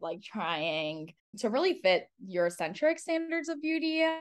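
With very wide pitch swings, this woman keeps to a moderate pace. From Cameroon, raised in US from age 5 (Kansas, New York, North Carolina, Illinois). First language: French. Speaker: salon founder, former marketing executive. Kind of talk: interview.

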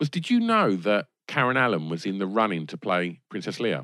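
Against a quiet background, a man with an English accent speaks at a fairly low pitch with lively intonation, recorded dry and close with no echo. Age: 40s. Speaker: film podcast guest. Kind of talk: casual chat. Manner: halting.

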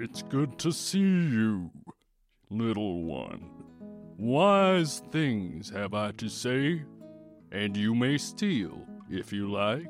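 A booming put-on character voice with a low pitch speaks at a very slow pace, leaving long, frequent pauses. Faint music plays in the background. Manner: wise, ominous.

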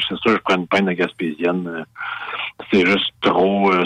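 A man with a fairly low voice, recorded with a dry, close sound and no echo. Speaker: beer expert and author. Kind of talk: interview. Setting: radio studio.

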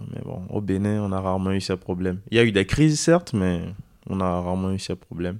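Very clean audio with a silent background carries this speech. It has a fairly quick pace and ordinary pitch variation. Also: man, very deep, low pitch for a man. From Benin, Porto-Novo. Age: 20s. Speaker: student on civic service at a basketball club. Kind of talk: interview.

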